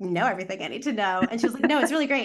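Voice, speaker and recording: Over a quiet background, a woman with an ordinary speaking voice talks at a fairly high pitch with lively intonation. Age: 30s. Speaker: sexologist and matchmaker. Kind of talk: casual interview chat.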